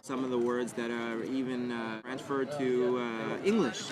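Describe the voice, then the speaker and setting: A man with a medium-pitched voice speaks at a moderate pace, with noticeable background noise and audible room echo. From Brooklyn, New York. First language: Yiddish. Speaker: artist and rabbi. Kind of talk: interview. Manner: halting, many fillers.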